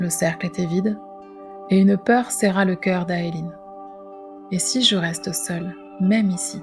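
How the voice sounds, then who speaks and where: A soft-spoken woman whispers in a soothing tone, with long, frequent pauses. Music plays in the background. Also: fairly slow pace. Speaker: podcast host, storyteller and holistic practitioner. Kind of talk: whispered spiritual tale podcast narration. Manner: soft, whispering, soothing.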